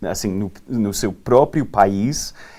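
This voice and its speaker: A man's fairly low voice with a dark, mellow tone, on a very clean recording against a silent background. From Texas. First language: English (speaking Portuguese). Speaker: farmland investment manager. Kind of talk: panel discussion. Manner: halting, many fillers.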